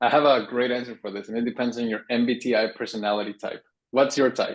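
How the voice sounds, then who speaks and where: A man speaks very fast with a Spanish accent at medium pitch. The background is quiet. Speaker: writing workshop instructor. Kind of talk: workshop Q&A. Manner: casual, animated.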